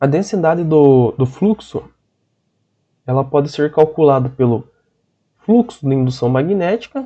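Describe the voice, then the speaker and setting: A man with a fairly high voice talks with lively intonation. His pace is very slow. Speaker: teacher. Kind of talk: online lecture.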